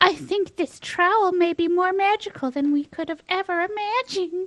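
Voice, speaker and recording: Using a put-on character voice, a female-sounding speaker talks squeakily at a moderate pace in an extremely high pitch. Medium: actual play.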